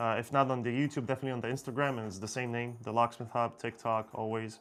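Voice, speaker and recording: A man with an Israeli accent speaks at a medium pitch and a fairly quick pace. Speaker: locksmith. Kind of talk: live stream Q&A. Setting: live stream. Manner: casual, hesitant with fillers.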